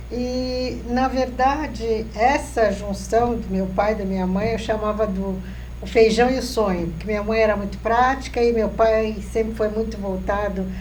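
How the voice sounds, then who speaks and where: Noticeable background noise and audible room echo around a woman's fairly slow speech. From Brazil, São Paulo city. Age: 70s. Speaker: psychologist. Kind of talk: interview.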